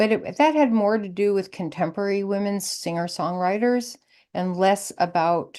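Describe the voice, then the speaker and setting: Against a quiet background, a woman speaks with an American accent at medium pitch. Her tone is dark and mellow. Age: 70s. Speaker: folk musician. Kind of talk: interview. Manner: halting.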